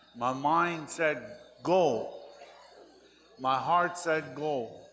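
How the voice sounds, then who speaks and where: Music plays in the background while a man with fairly high pitch speaks very slowly, his pitch varying in an ordinary way. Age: 70s. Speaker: war veteran and elder. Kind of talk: speech at powwow.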